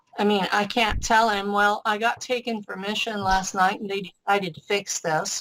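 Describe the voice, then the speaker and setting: A woman with an ordinary speaking voice and a medium pitch talks at a moderate pace with hardly any pauses. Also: fairly even intonation. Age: 60s. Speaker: interviewee describing alleged space missions. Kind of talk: interview.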